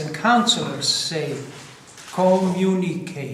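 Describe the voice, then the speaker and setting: A man with a Ukrainian accent speaks at a very slow pace in a high pitch. Noticeable background noise and audible room echo surround him. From Croatia. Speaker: preacher. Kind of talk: sermon.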